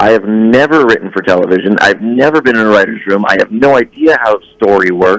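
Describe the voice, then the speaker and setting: A man talks at a moderate pace with an American accent, in a normal speaking voice. The sound is dry and close, with no echo. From Massachusetts. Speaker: TV writer, producer and voice actor. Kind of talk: interview answer.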